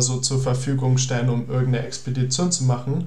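Audible room echo and noticeable background noise surround a man's voice. His medium pitch stays monotone and flat at a moderate pace. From Germany, near Cologne. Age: young (19). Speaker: environmental volunteer. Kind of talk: interview.

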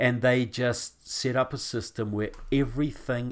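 A man with a New Zealand accent speaks at a fairly slow pace in a monotone, flat intonation, on a very clean recording with a silent background. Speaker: author and activist guest. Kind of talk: interview on politics and faith.

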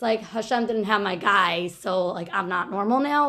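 A woman speaks in a normal speaking voice with an American accent, at fairly high pitch and a moderate pace. Her pitch varies in an ordinary way over a quiet background. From Monsey, New York. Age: 30s. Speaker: podcast guest. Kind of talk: interview.

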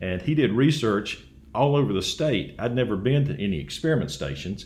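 With an Alabama accent, a man speaks at a fairly quick pace with very wide pitch swings and audible room echo. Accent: US Southern (Alabama). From Alabama (Dothan). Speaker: agricultural researcher. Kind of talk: interview.

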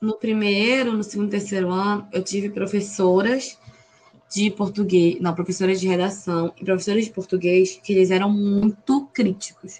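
A woman at medium pitch, fairly even intonation and a moderate pace, a plain, everyday voice. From Brazil, Pará. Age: 20s. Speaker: occupational therapy student. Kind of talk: casual interview.

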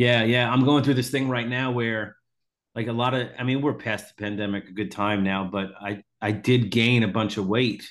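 A man with an unremarkable speaking voice talks at medium pitch and a moderate pace, his intonation fairly even. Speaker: podcast host, comedian. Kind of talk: casual interview chat.

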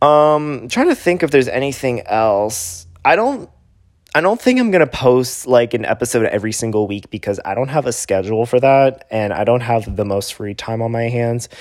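A man's normal speaking voice, medium in pitch, with ordinary pitch variation and a moderate pace. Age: 20s. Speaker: podcast host and theater actor. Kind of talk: casual solo monologue. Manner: filler-heavy, casual.

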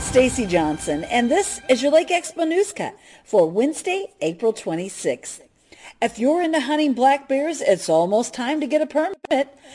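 A woman with a high voice speaks at a moderate pace, her pitch swinging very widely. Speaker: news reader. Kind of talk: news reading.

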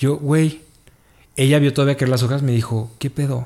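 Fairly quick and somewhat breathy, a man with a Mexican accent speaks in a dark, mellow tone with ordinary pitch variation. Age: 30s. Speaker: office worker. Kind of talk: casual chat.

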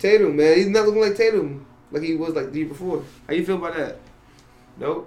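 With an American accent, a man speaks at a high pitch and a very fast pace, broken by long, frequent pauses. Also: ordinary pitch variation. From New York. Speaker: guest. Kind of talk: casual chat.

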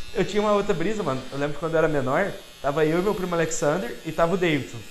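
Talking at a very fast pace with ordinary pitch variation, a man is heard over noticeable background noise and audible room echo. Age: 20s. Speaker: podcast guest. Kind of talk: casual chat.

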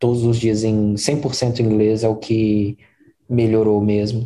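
A man talks in a somewhat breathy voice with a dark, mellow tone. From Belo Horizonte, Brazil. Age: 40s. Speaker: product design manager. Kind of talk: interview conversation.

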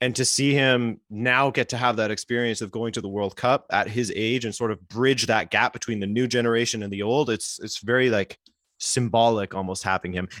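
In a very clean recording with a silent background, a man of medium pitch talks with a Western Canadian accent and fairly even intonation. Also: fairly quick pace, dry, close sound with no echo. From Western Canada, British Columbia. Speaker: YouTube soccer creator. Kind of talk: casual chat.

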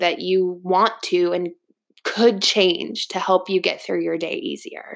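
In an American accent, a woman talks at a fairly slow pace with a medium pitch and monotone, flat intonation. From Texas, Dallas. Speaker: podcast host and hairstylist. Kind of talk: casual monologue.

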